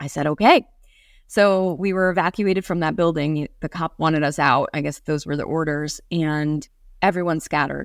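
A woman with a very deep, low pitch speaks with an American accent. The recording is very clean, with a silent background. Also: ordinary pitch variation, moderate pace. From New York State (Hudson Valley area). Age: 40s. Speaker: self-defense and performance coach. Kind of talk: interview.

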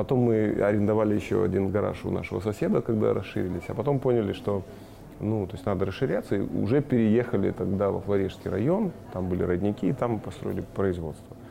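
A man talks very fast at a fairly low pitch. Noticeable background noise sits behind him. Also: ordinary pitch variation. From Kazakhstan (Shymkent), then Moldova from age ~10. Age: 30s. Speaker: marketing director. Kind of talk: interview.

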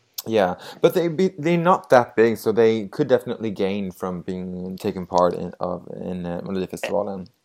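Speaking with a Swedish accent, a man uses a fairly low pitch and lively intonation with hardly any pauses, on a very clean recording with a silent background. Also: moderate pace, big swings in loudness. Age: 30s. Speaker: podcast host. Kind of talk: casual chat.

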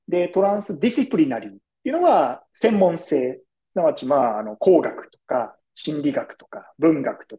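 A man speaks with very wide pitch swings. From Tokyo, Japan. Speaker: design futurist. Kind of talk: podcast interview. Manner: polite, formal.

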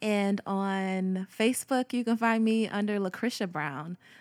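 A woman talks at a very slow pace. The sound is dry and close, with no echo. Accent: American. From Texas, military upbringing. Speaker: actress. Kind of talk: casual chat.

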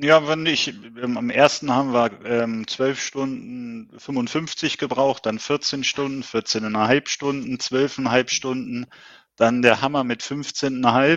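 A man's medium-pitched voice moves very slowly, his intonation fairly even. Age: 50s. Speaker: ultrarunner. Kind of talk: interview. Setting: video call.

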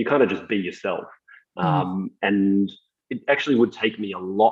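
With an Australian accent, a man talks at a moderate pace. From Australia, Melbourne. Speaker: technology executive. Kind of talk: interview.

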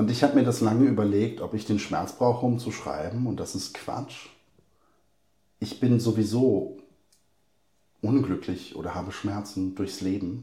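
Speaking fairly slowly with long, frequent pauses, a man uses a fairly low pitch and fairly even intonation, his somewhat breathy voice dark and mellow in tone against audible room echo. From Hesse, Germany (Bad Soden, Polish parents). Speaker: poet and school teacher. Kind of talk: interview.

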